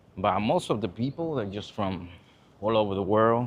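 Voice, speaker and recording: A man talks at a moderate pace with a Spanish accent. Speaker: vlogger. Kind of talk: casual vlog monologue. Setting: outdoors, walking in city. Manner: casual, many fillers.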